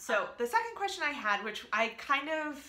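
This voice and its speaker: Medium-tempo speech from a woman in an American accent, echoing in the room. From US East Coast, Alabama and Northern Virginia. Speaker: vlogger. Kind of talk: casual vlog chat. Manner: rambling with many fillers.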